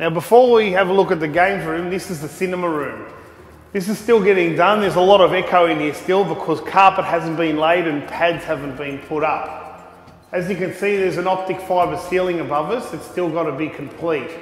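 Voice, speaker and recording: A man with a high pitch talks at a fairly quick pace and fairly even intonation, with audible room echo and noticeable background noise. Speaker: retro gaming vlogger. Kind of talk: casual vlog walkthrough. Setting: unfinished home games room. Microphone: echo in room.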